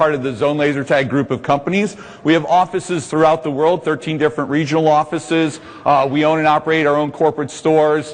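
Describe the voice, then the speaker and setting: Noticeable background noise sits behind a man with an American accent. His pitch is fairly high and his pace fairly quick. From US Midwest, Indianapolis. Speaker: laser tag business executive, seminar presenter. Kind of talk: trade seminar presentation. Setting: conference room with audience. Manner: loud; animated.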